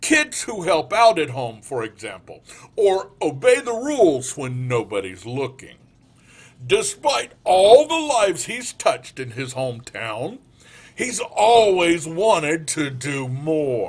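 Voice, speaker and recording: Using a put-on character voice, a man speaks fairly slowly at a fairly high pitch with very wide pitch swings. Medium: read story. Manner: soft-spoken, calm, earnest.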